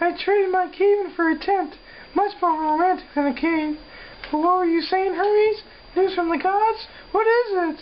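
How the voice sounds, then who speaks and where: In a put-on character voice, a female-sounding speaker goes squeaky at an extremely high pitch over clear background noise. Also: moderate pace. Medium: stage play.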